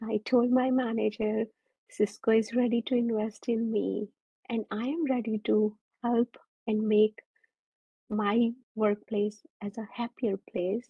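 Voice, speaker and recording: Somewhat breathy and fairly high-pitched, a woman talks at a fairly slow pace in a monotone, flat intonation, with long, frequent pauses. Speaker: mindfulness facilitator and engineer. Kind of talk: presentation.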